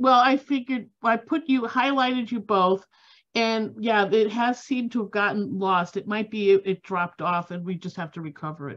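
Against a quiet background, a woman speaks at a moderate pace in a fairly high pitch, her loudness swinging widely and her pitch varying in an ordinary way. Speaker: food history society organizer. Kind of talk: event moderation. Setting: video call. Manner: halting. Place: home room. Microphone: video call.

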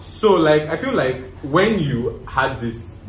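Light background noise and audible room echo around a man speaking. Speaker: guest. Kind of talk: casual conversation. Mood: candid, animated, laughing at times. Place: home room. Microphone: camera far.

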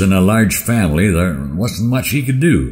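A man's somewhat breathy voice is heard here. His pitch swings very widely. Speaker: cowboy poet. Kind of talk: poetry reading.

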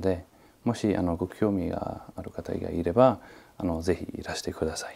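A man speaks at a moderate pace with a non-native accent, his very deep, low pitch carrying a dark, mellow tone and ordinary pitch variation. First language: not Japanese (speaking Japanese). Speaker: martial arts master. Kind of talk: interview. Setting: martial arts hall. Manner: halting, many fillers. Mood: calm, reflective.

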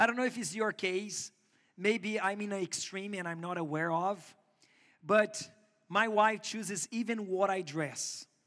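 With a Portuguese accent, a man speaks at a fairly slow pace in a high pitch, his tone bright and sharp and his intonation fairly even, against a quiet background. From Brazil. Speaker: pastor. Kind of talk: sermon. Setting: church. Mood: warm, light humour. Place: church.

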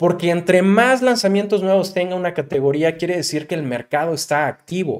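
In a Mexican accent, a man speaks with an animated tone and lively intonation at a fairly high pitch. His pace is moderate against a quiet background. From Mexico. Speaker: digital marketing youtuber. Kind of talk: tutorial.

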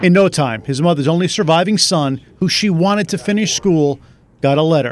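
A man with an unremarkable speaking voice uses lively intonation at a fairly high pitch in a very clean recording with a silent background. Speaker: TV news reporter. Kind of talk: news feature narration.

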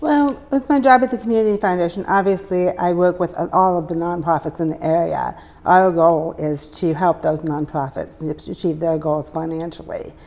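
Speaking at a moderate pace, a woman has a normal speaking voice set at a fairly low pitch. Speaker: guest. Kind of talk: interview answer. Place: studio. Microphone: lapel.

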